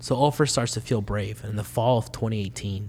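This man talks very fast in a fairly low, somewhat breathy voice with fairly even intonation. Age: 20s. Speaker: immigrant rights organizer. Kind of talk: casual interview.

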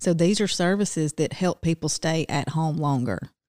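Recorded very cleanly against a silent background, with a dry, close sound and no echo, a woman speaks at a fairly low pitch in a Southern US accent. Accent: Southern US (Georgia). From US South, Silver Creek near Rome, Georgia. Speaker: agency assistant director. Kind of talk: interview. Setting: studio.

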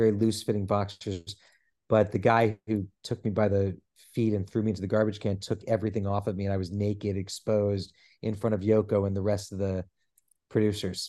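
A man speaks at a fairly quick pace with a dark, mellow tone and a fairly low pitch. His intonation is flat and monotone over a quiet background. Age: 40s. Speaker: actor and celebrity impersonator. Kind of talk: casual chat.

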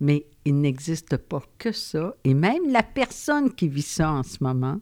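Her pitch swings very widely as a woman talks at a very slow pace. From Quebec, Gaspésie. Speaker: psychologist. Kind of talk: interview. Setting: studio.

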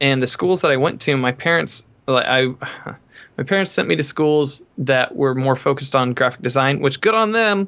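A man with an American accent and a normal speaking voice, fairly high in pitch, lively in intonation, at a moderate pace and very even loudness. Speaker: musician. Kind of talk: casual interview chat.

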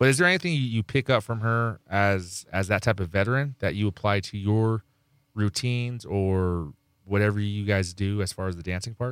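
Here a man has a normal speaking voice, fairly low in pitch with ordinary variation, at a moderate pace. The recording is very clean and silent behind him, dry and close with no echo. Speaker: radio DJ. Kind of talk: casual radio interview. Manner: joking, boastful.

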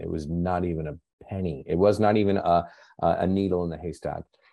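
Against a quiet background, a man with a very deep, low voice and a dark, mellow tone talks at a moderate pace with fairly even intonation. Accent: American. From US Pacific Northwest, Seattle. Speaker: nonprofit founder. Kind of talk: casual chat.

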